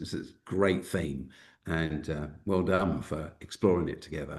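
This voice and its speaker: In a South London accent, the speaker goes at a fairly slow pace with ordinary pitch variation. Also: man. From South London, England. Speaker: Baptist minister, school founder. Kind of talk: webinar interview.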